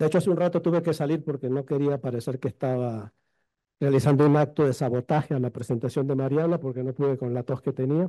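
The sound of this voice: Fast speech from a man at medium pitch, dark and mellow in tone, with ordinary pitch variation.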